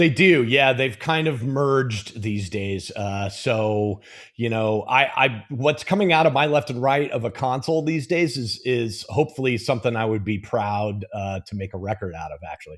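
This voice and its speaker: Against a quiet background, a man with a Californian accent talks at a moderate pace with lively intonation. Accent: American, Californian. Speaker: mixing engineer. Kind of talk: technical tutorial chat. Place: studio.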